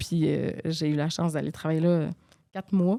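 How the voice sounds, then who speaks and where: A woman talks in a dark, mellow tone at a fairly low pitch. Her intonation stays monotone and flat. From Quebec, Saguenay–Lac-Saint-Jean (Dolbeau). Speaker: former TV baking contestant. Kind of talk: casual interview chat. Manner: hesitant, many fillers.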